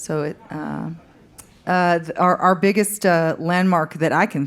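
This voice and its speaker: A woman speaks at a fairly low pitch with fairly even intonation on a very clean recording with a silent background. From Fargo-Moorhead, upper Midwest US. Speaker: country singer-songwriter. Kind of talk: on-stage interview. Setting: stage with live audience. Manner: halting, many fillers.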